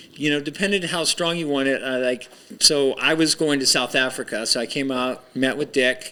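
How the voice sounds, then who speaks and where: Noticeable background noise sits behind a man's fairly high voice. He keeps a moderate pace and fairly even intonation. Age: 60s. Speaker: pro surfer. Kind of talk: casual interview. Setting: studio.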